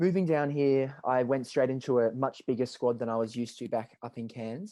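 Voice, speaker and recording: Against a quiet background, a man talks at a moderate pace in a medium pitch and a dark, mellow tone, with ordinary pitch variation. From Far North Queensland, Australia. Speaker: swimmer and junior doctor. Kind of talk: podcast interview.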